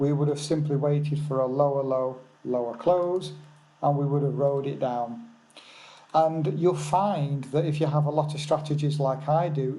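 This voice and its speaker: A man with a fairly high pitch, a somewhat breathy, dark, mellow tone and an English accent, fairly even intonation at a moderate pace, with audible room echo. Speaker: forex trading educator. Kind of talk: live webinar. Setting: remote lodge, webinar. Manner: soft-spoken. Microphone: seven-year-old original mic, replaced a worse one.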